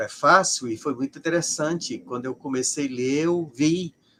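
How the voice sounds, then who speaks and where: Speaking at a fairly slow pace, a man uses a fairly high pitch. The sound is dry and close, with no echo. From Brazil, Ceará. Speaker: sociologist of religion. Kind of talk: interview. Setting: live stream.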